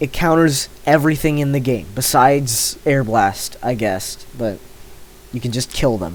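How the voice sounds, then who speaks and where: A man at a medium pitch, fairly slow pace and ordinary pitch variation. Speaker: gaming youtuber. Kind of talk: casual commentary while ranking items. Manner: hesitant, many filler words.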